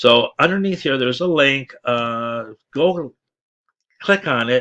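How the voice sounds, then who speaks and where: Someone mumbles with lively intonation in a dry, close sound with no echo. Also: man. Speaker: online marketing promoter. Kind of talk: sales pitch. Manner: mumbling, stuttering; halting.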